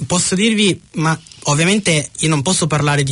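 Noticeable background noise sits under the recording. A man speaks at a moderate pace and a fairly high pitch with ordinary pitch variation. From Piedmont, Italy (Ivrea). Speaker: Italian expat. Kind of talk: radio interview. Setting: studio.

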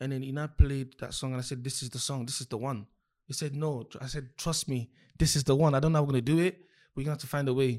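A man talking at a very fast pace, fairly even in intonation but with big swings in loudness. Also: fairly high pitch for a man. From Nigeria, Lagos (moved to UK at ten). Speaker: singer-songwriter. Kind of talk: casual chat.

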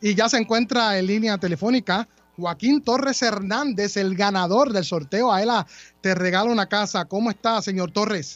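Moderate pace, ordinary pitch variation and very even loudness. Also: man, high pitch for a man. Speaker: radio host. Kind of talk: radio talk show.

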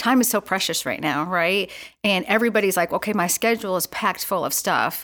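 This woman has an American accent and a bright, sharp tone. She speaks fairly quickly at a medium pitch, with ordinary pitch variation. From US Northeast. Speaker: Salvation Army officer and youth leader. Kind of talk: interview.

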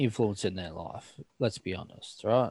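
Recorded with a dry, close sound and no echo, the speaker has an Australian accent. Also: man. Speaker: podcast host. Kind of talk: casual chat.

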